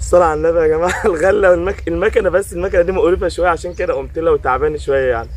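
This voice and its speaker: A man's fairly quick speech over noticeable background noise. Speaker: fishing vlogger. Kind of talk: casual chat. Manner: animated.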